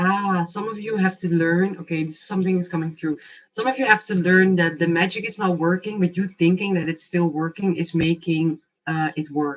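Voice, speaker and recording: A woman with a fairly low pitch speaks at a moderate pace in a somewhat breathy voice. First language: not English. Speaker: tarot and oracle card reader. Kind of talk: live oracle card reading. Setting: livestream. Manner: casual, animated.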